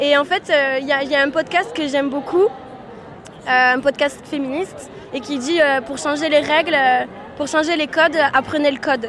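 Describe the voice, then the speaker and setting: Her voice is high-pitched, and this woman speaks at a moderate pace with ordinary pitch variation. Long, frequent pauses occur against noticeable background noise. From France, Aveyron. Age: 30s. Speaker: programmer retraining as designer. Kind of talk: street interview. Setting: outdoors at a street demonstration.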